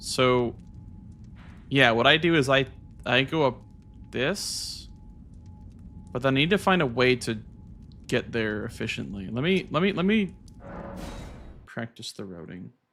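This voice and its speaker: With music in the background, a man with an American accent talks at a fairly slow pace, with long, frequent pauses. His tone is animated, with very wide pitch swings. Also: medium pitch for a man. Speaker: video game streamer. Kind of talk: casual live-stream commentary. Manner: casual, animated.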